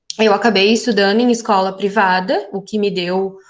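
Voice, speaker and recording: A woman speaks at a moderate pace in a plain, everyday voice. Her pitch sits in the medium range, with fairly even intonation. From southern Brazil, Porto Alegre area. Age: 20s. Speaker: geography teacher. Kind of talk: interview.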